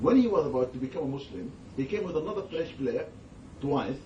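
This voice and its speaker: A man talks with lively intonation amid audible room echo. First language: not English. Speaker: Islamic scholar. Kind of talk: religious talk with Q&A. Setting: gathering with audience.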